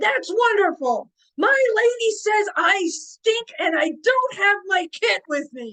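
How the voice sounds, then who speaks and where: A woman's put-on character voice, extremely high in pitch, with very wide pitch swings at a fairly slow pace. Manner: jovial, lordly.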